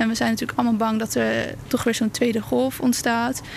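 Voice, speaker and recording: A woman speaks at a moderate pace in a fairly high voice, her intonation fairly even, with noticeable background noise around her. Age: 20s. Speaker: nurse. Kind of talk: interview.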